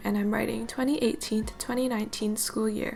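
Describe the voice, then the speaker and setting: A woman talks. Music can be heard behind her. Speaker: university student. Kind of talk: bullet journal tutorial voiceover.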